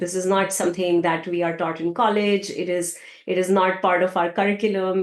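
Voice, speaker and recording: Speaking with a non-native accent, a woman talks at a fairly quick pace. Her pitch is medium and her intonation is monotone and flat. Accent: foreign. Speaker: tech data leader. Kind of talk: podcast interview.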